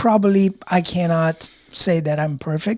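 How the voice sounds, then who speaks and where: Somewhat breathy and fairly low in pitch, a woman speaks with an American accent and ordinary pitch variation. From outside the US. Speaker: podcast co-host. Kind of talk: casual chat.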